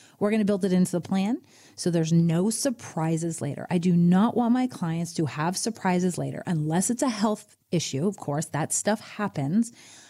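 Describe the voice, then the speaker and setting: A woman's medium-pitched, somewhat breathy voice with a dark, mellow tone, at a moderate pace with ordinary pitch variation and hardly any pauses, on a very clean recording with a silent background. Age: 60s. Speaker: financial advisor. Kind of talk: casual chat.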